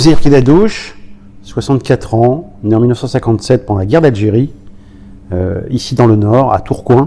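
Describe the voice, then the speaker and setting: This man's pitch sits at a medium level, with ordinary variation. He keeps a moderate pace. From Paris region, France (Aubervilliers). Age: 60s. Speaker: former professional footballer. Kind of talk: oral history interview. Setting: recorded interview in Roubaix. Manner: halting, many hesitations.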